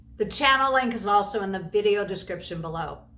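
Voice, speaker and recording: The speech moves at a very fast pace with lively intonation. Room echo is audible. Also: woman. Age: 60s. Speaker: faith community leader, anti-trafficking advocate. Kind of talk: video tutorial talk, scripted.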